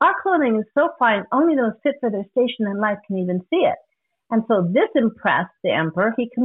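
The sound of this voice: Lively intonation from an unforced reading voice, set against a quiet background.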